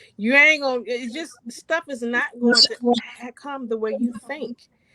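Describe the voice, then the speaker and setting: A bright, sharp, raised and projected voice with lively intonation moves at a moderate pace, sounding dry and close with no echo. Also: woman. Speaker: author. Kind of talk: motivational talk on radio show. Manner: animated, emphatic.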